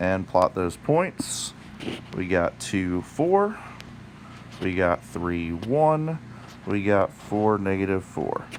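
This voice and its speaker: Amid noticeable background noise, a man with a fairly low pitch and lively intonation speaks very slowly, leaving long, frequent pauses. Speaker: math teacher. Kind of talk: tutorial.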